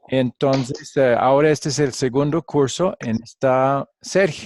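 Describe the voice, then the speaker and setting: A man with a fairly high pitch talks at a very slow pace, the sound dry and close with no echo. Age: 60s. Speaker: pastor and Bible teacher. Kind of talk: online class lecture. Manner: halting, with frequent fillers.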